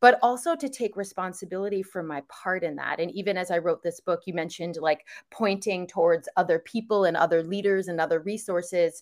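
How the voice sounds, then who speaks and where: In an American accent, a woman with an ordinary speaking voice talks at a fairly quick pace with hardly any pauses, her medium pitch showing ordinary pitch variation. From New York area. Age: 40s. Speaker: author and wellness advocate. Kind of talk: podcast interview.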